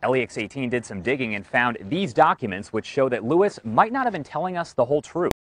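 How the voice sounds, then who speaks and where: A man races along at a very fast pace with very wide pitch swings and hardly any pauses, the sound dry with no echo. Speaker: TV news reporter. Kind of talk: TV news reporter delivery. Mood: somber, measured.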